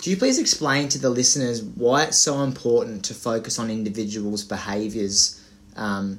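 In an ordinary speaking voice, a man talks at a fairly slow pace with fairly even intonation. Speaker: podcast host. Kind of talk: casual interview.

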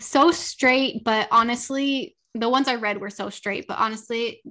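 In a Californian accent, a woman with a fairly high pitch and a bright, sharp tone talks with ordinary pitch variation. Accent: Californian American English. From Southern California, Los Angeles. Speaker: romance author. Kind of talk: casual interview chat.

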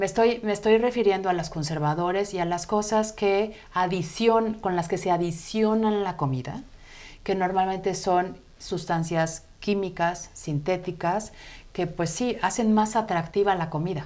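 A woman's medium-pitched voice at a fairly slow pace, with ordinary pitch variation and audible room echo. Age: 40s. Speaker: health coach. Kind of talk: interview on a live web show. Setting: studio.

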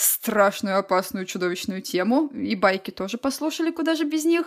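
Her pitch high, a woman talks at a moderate pace with lively intonation. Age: 20s. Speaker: illustrator and podcast co-host. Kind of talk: casual chat.

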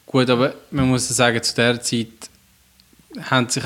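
This voice belongs to a man with a medium pitch. He has a Swiss accent. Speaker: podcast co-host. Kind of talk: casual chat.

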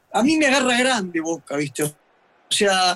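A man speaks at a fairly slow pace. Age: 70s. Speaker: retired football fitness coach. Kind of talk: casual chat. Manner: halting.

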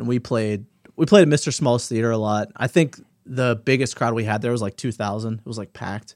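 A man with a normal speaking voice talks at a fairly quick pace in a medium pitch, with ordinary pitch variation, on a very clean recording over a silent background. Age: 40s. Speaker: podcast co-host. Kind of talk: casual chat.

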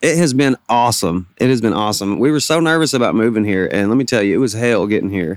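With a Southern US accent, a medium-pitched man rattles along at a very fast pace with hardly any pauses, lively intonation and very even loudness, on a very clean recording with a silent background. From Arkansas Delta (Bald Knob). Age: 30s. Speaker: singer-songwriter. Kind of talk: interview.

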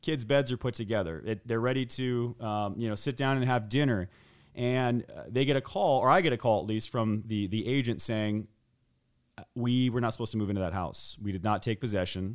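A man with an American accent speaks in a plain, everyday voice with a medium pitch and ordinary pitch variation. His pace is fairly quick on a very clean recording with a silent background. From Arizona (Scottsdale). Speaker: moving company co-founder and CEO. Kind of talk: casual interview.

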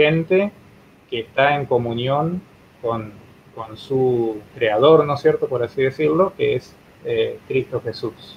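Very slowly, a man talks in a fairly high voice, varying his pitch in an ordinary way. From Argentina, Entre Ríos. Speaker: pastor, church president. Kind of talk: interview, religious teaching. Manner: halting, many repetitions and fillers.

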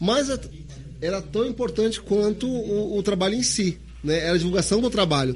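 A man is speaking. His pace is moderate. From Santos, São Paulo, Brazil. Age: 40s. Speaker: police chief and political candidate. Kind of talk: interview on live podcast. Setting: live-streamed studio.

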